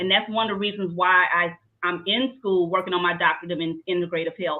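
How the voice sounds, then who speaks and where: A woman with a fairly low voice talks at a very fast pace. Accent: Louisiana. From Southeast Louisiana. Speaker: trichologist. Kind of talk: interview. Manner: animated.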